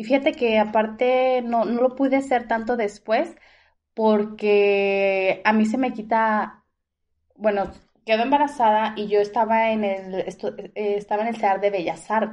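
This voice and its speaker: A woman speaks at a fairly high pitch and a fairly slow pace. She has an unremarkable speaking voice. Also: fairly even intonation. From Mexico, Guadalajara. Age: 30s. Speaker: dental product saleswoman. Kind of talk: casual interview.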